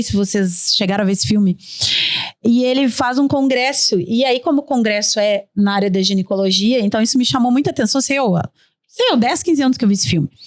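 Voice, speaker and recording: With a fairly high pitch and ordinary pitch variation, a woman talks in an animated tone. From Rio Grande do Sul, Brazil (São Gabriel). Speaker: tourism park founder. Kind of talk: podcast panel conversation. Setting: studio.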